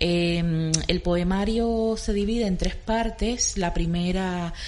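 A woman with a Cuban accent, with audible room echo and noticeable background noise. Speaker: art curator. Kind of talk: radio interview.

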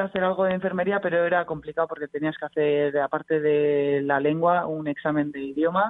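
An unremarkable speaking voice from a woman with a fairly low pitch and fairly even intonation. She talks at a moderate pace with hardly any pauses. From Bilbao, Basque Country, Spain. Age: young. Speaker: basketball player. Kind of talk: casual radio interview.

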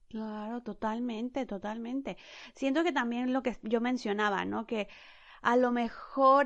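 A woman speaks in an ordinary speaking voice, fairly high in pitch, over a quiet background. Her pace is fairly slow and her intonation fairly even. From Mexico. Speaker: podcast host. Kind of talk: interview.

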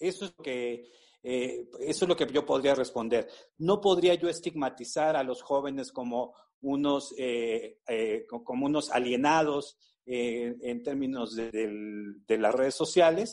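The man speaks at a very slow pace. His fairly high voice shows ordinary pitch variation. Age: 50s. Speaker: university professor. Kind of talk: expert interview. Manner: halting, many fillers and repetitions.

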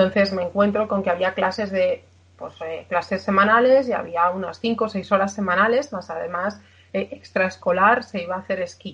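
A woman speaks at medium pitch and a moderate pace, somewhat breathy, with fairly even intonation. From Spain, Aragón (village in Zaragoza province). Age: 20s. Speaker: patient sharing her story of living with a muscular disease. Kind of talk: interview testimony. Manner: halting, with many fillers.

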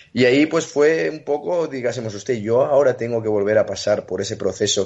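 A man with a medium pitch speaks at a moderate pace in an ordinary speaking voice. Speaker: retired tennis player. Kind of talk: interview.

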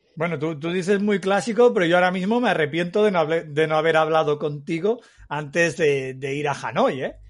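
In a Castilian accent, a man talks at a fairly quick pace. His pitch is high, with ordinary variation. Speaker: podcast host. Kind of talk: casual chat.

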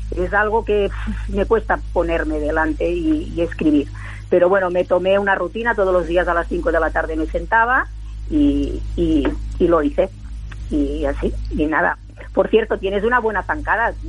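Noticeable background noise is present. A woman talks over it at a moderate speed. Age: 60s. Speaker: world champion sprinter and author. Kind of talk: interview.

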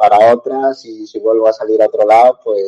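At a fairly slow pace, a man speaks. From northwestern Spain, El Bierzo (León). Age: 20s. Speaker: footballer. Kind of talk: interview.

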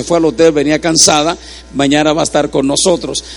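A man talks at a fairly quick pace in an animated tone. Noticeable background noise runs underneath. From Puerto Rico. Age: 60s. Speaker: preacher. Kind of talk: sermon.

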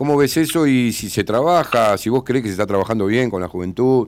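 A man at a medium pitch keeps a moderate pace and ordinary pitch variation in a plain, everyday voice. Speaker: radio host. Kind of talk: radio interview.

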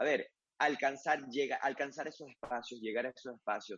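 Fairly quick and at a medium pitch, a man talks in an ordinary speaking voice, his pitch variation ordinary. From Venezuela, Mérida. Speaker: sports journalist. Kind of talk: interview.

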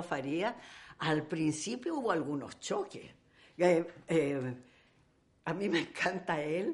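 Very slow speech with long, frequent pauses and ordinary pitch variation. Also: woman. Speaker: actress. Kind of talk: interview. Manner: animated.

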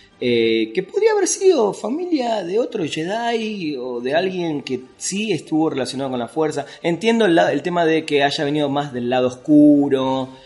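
Over noticeable background noise, a man with a fairly high pitch and lively intonation talks at a moderate pace with hardly any pauses. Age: 40s. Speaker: film critic and writer. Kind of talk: casual chat.

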